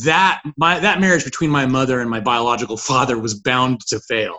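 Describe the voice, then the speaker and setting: The man has an ordinary speaking voice at a medium pitch. He talks at a moderate pace with ordinary pitch variation. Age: 40s. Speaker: author and person in recovery. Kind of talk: recovery story interview.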